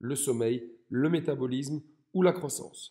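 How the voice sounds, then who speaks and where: A man speaks with a Belgian accent. His tone is dark and mellow. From Belgium. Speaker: fitness coach. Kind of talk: educational talk. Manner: scripted, clear delivery.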